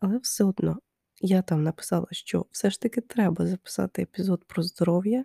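A somewhat breathy, dark, mellow tone at a moderate pace. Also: woman. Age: 20s. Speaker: podcast host. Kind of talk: casual monologue. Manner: hesitant, many fillers.

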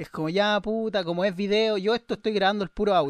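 A man with a Chilean accent at a fairly quick pace, the sound dry and close with no echo over a quiet background. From Chile, Viña del Mar. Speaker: podcaster and freestyle rapper. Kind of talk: casual chat.

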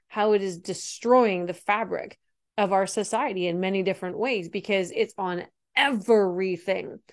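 A normal speaking voice from a woman at a medium pitch, moderate pace and ordinary pitch variation, on a very clean recording with a silent background. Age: 40s. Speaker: high performance coach and podcast host. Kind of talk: solo podcast monologue.

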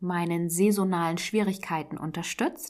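The recording of this woman is very clean, with the background completely silent. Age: 30s. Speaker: podcast host. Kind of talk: solo podcast monologue.

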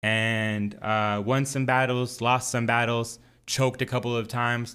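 A man speaks with a bright, sharp tone and fairly even intonation on a very clean recording with a silent background. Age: 30s. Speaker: podcast host, former amateur battle rapper. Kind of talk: casual solo monologue. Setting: home studio, recording alone.

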